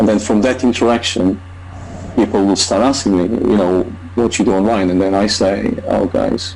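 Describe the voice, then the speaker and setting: With a non-native accent and a fairly low pitch, a man speaks at a moderate pace, with very even loudness, fairly even intonation and noticeable background noise. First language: not English. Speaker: online marketer. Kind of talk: testimony. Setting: video call.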